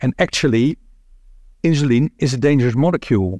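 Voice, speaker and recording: In a Dutch accent, a man speaks at a moderate pace and medium pitch with ordinary pitch variation, captured on a very clean recording with a silent background and a dry, close sound with no echo. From Netherlands. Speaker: internist immunologist, symposium chair. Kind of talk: moderated medical symposium. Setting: stage with audience. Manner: halting, many fillers.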